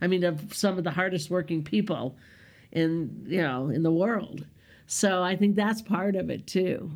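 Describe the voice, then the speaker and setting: At a moderate pace, a woman talks in a fairly low pitch with vocal fry. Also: ordinary pitch variation. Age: 60s. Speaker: comedian. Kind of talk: casual interview chat. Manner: lowers register on stage.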